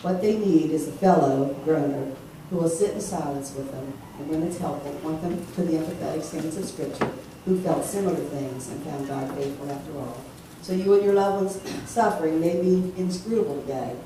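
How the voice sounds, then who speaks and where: At a fairly quick pace, a woman speaks in a very deep, low pitch with ordinary pitch variation and big swings in loudness, amid audible room echo and light background noise. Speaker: preacher. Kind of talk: sermon. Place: church. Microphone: camera far.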